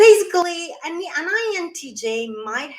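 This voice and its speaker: A woman talks with an Italian accent. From Italy. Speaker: YouTuber talking about personality types. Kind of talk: livestream talk. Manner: halting, with fillers and repeats.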